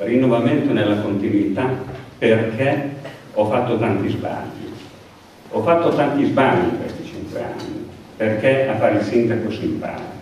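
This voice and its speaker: Amid strong room echo and light background noise, a man speaks at a moderate pace with ordinary pitch variation and long, frequent pauses. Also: medium pitch for a man. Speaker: outgoing mayor presenting candidates. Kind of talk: campaign speech. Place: hall.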